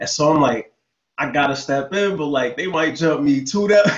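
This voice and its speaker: A man's unremarkable speaking voice, fairly high in pitch, at a fairly quick pace with ordinary pitch variation. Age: 30s. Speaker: podcast host. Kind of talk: casual interview chat.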